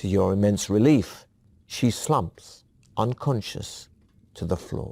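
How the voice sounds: What you hear is a natural reading voice.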